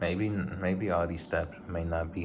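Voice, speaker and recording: A man's very deep, low voice at a moderate pace, with audible room echo. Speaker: vlogger. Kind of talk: casual vlog monologue. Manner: halting, repeats words.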